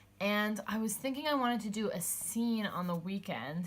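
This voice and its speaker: Delivered at a moderate pace, the speech is somewhat breathy and shows ordinary pitch variation. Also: woman. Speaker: planner vlogger. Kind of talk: casual tutorial voiceover. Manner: casual, thinking aloud.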